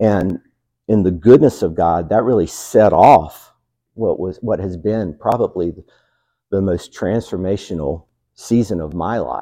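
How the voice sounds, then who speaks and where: A man with a Southern US accent speaks in a very deep, low pitch with ordinary pitch variation and a dark, mellow tone. His loudness swings widely over a quiet background. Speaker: pastor. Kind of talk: sermon. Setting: church.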